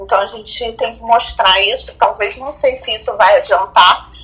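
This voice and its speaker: A woman speaks over noticeable background noise. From Rio de Janeiro, Brazil. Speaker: physician. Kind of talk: casual chat.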